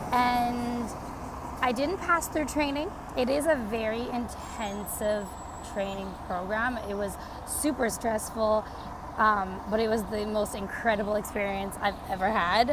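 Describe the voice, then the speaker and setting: At a fairly slow pace, a woman with a Canadian accent talks in a fairly high voice with ordinary pitch variation, amid noticeable background noise and audible room echo. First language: Portuguese. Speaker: vlogger. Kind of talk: casual vlog update. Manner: casual, filler-heavy.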